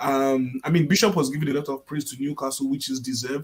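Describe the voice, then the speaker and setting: Ordinary pitch variation marks speech delivered at a very fast pace. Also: man. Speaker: football pundit. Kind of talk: sports debate panel.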